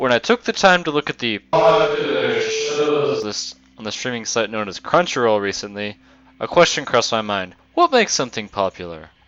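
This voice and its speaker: A man talks at a moderate pace, his loudness swinging widely against noticeable background noise. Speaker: anime reviewer. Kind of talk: scripted review narration. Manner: occasional stutters.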